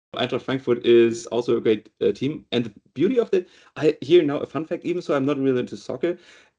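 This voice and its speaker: A man with a German accent, fairly high in pitch, dark and mellow in tone, fairly quick, with lively intonation. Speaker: data and AI director. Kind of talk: interview. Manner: halting.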